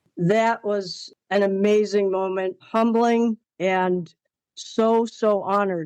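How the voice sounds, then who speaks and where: With an American accent, a woman speaks in a plain, everyday voice with fairly even intonation, the sound dry and close with no echo. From Pennsylvania. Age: 60s. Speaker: cattle show fitter. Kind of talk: interview.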